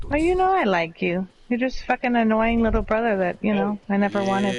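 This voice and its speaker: Over noticeable background noise, a woman with an American accent talks at a fairly quick pace, her pitch fairly high, her intonation lively and her loudness very even. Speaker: parent. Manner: swears heavily, emphatic.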